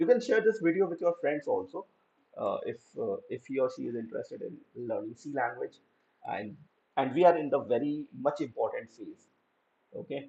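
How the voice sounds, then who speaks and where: Delivery runs at a fairly quick pace, broken by long, frequent pauses. Loudness swings widely. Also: man. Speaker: programming teacher. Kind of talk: lecture. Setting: live online class.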